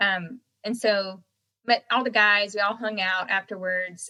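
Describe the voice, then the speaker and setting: Heard dry and close with no echo, a woman with an American accent speaks at a medium pitch in a bright, sharp tone with fairly even intonation. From North Carolina, US South. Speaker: singer-songwriter. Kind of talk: interview.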